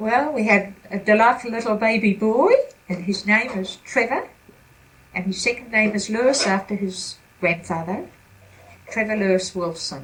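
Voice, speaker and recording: Here is a woman with a New Zealand accent and fairly high pitch. She keeps a moderate pace with long, frequent pauses. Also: ordinary pitch variation. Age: 70s. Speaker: retired grandmother interviewed about her life. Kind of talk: family interview. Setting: at home.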